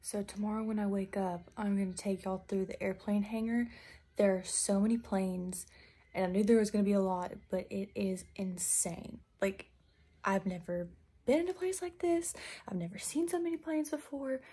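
The voice is somewhat breathy and dark, mellow in tone, with lively intonation at a moderate pace. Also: woman. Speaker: travel vlogger. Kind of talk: casual vlog chat. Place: home room. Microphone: phone near.

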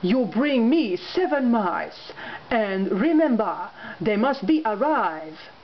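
Clear background noise sits behind a put-on character voice, female-sounding and fairly high for a woman, delivered at a fairly slow pace. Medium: read story. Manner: warm, brisk.

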